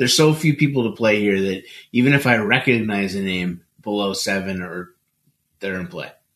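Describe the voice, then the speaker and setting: An ordinary speaking voice from a man at fairly low pitch, moderate pace, ordinary pitch variation and big swings in loudness. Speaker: fantasy sports player. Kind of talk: casual chat.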